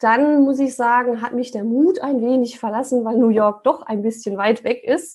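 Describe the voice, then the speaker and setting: Against a quiet background, a woman speaks in a high voice with fairly even intonation and hardly any pauses. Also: moderate pace. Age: 30s. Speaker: real estate investor. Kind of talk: interview.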